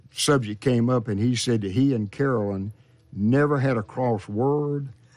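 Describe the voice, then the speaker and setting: Moderate pace and fairly even intonation in a plain, everyday voice. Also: man, medium pitch for a man. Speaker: high school football historian and announcer. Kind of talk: radio interview answer.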